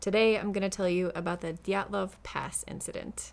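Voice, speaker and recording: Speaking with an American accent, a woman uses a normal speaking voice at a medium pitch and moderate pace with ordinary pitch variation. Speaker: true crime storyteller and crocheter. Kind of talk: casual storytelling. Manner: casual, chatty.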